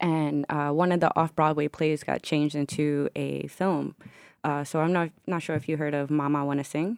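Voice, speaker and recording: An American-accented woman speaks at a moderate pace with a very deep, low pitch and monotone, flat intonation. The sound is dry and close with no echo. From Newark, New Jersey. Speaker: filmmaker and former basketball player. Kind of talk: casual interview. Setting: studio.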